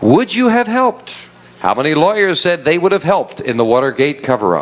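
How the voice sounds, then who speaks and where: With an American accent and a high pitch, a man speaks at a fairly quick pace with very wide pitch swings. His loudness stays very even over noticeable background noise. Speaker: game show host. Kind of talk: game show hosting.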